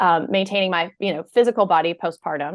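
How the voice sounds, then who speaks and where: A woman's fairly low voice in an American accent, monotone and flat in intonation. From US South. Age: 40s. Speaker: burnout expert and author. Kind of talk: podcast interview.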